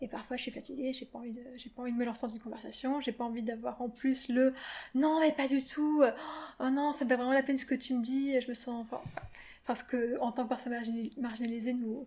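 High female voice, monotone and flat, at a fairly quick pace. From France, Paris. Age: 30s. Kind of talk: interview. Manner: halting, many fillers.

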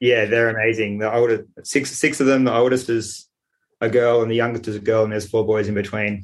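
A man speaks with an Australian accent at a medium pitch. His delivery is fairly quick and flat, in a monotone. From Sydney, Australia. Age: 40s. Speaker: architect and peer support worker, abuse survivor. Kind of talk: interview testimony. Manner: halting.

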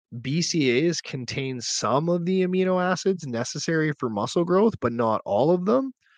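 Against a quiet background, a man with an ordinary speaking voice talks at a moderate pace with hardly any pauses, lively intonation and a fairly high pitch, the sound dry and close with no echo. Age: 40s. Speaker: fitness trainer and podcast host. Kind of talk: solo podcast monologue. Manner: casual.

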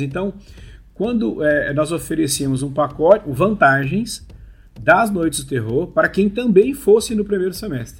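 A man moves through his words at a fairly slow pace while his pitch swings very widely. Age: 40s. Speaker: amusement park industry professional. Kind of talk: casual interview.

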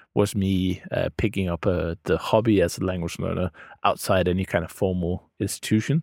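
A man with a Danish accent speaks in a very deep, low pitch at a moderate pace with fairly even intonation. The recording is very clean, with a silent background and a dry, close sound with no echo. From Denmark. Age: 30s. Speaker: podcast host and language learner. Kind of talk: casual interview chat.

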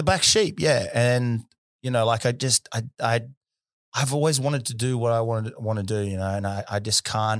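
This man talks at a moderate pace with ordinary pitch variation, and the recording is very clean with a silent background. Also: medium pitch for a man. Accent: New Zealand. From New Zealand, South Auckland. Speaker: boxer and content creator. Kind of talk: casual interview chat.

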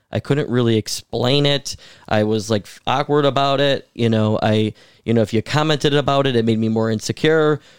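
A man talks with fairly even intonation at a medium pitch, with an American accent. He has a plain, everyday voice. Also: moderate pace. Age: 20s. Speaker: city council member. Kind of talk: casual podcast interview.

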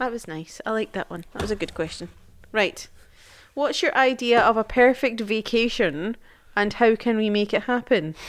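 A woman speaks with a Scottish accent in an animated tone. Her pace is moderate and her pitch variation ordinary. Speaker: podcast co-host, mother. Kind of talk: casual chat. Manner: animated, laughing.

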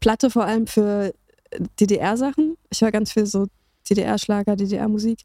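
The voice has a dark, mellow tone with fairly even intonation, at a very slow pace with long, frequent pauses. The sound is dry and close, with no echo. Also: woman, fairly high pitch for a woman. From Berlin, Germany. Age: 30s. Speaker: music journalist and radio presenter. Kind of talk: casual interview.

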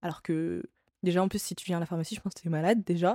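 A woman with a dark, mellow tone and fairly low pitch shows ordinary pitch variation, her sound dry and close with no echo on a very clean recording with a silent background. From France. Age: 20s. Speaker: podcast host. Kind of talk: solo podcast monologue. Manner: casual, with frequent hesitations.

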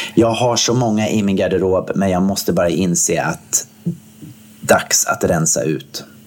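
A man speaks fairly slowly in a normal speaking voice. His pitch is fairly low, with ordinary pitch variation. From Gothenburg, Sweden. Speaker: podcast co-host. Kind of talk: casual chat.

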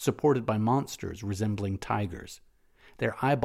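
This is reading aloud in a natural voice. The pitch variation is ordinary.

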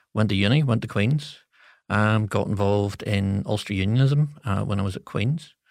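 The speaker has a Northern Irish accent and ordinary pitch variation. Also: man, fairly low pitch for a man, moderate pace. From Northern Ireland, Coleraine. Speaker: political advisor. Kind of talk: interview. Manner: hesitant with fillers.

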